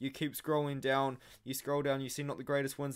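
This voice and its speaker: The man talks at a very fast pace. The background is quiet. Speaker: MMA analysis channel host. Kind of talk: commentary.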